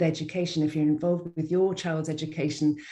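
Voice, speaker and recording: Fairly even intonation in a woman's dark, mellow tone. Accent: British. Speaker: school enrollment workshop presenter. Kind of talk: webinar presentation. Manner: fast.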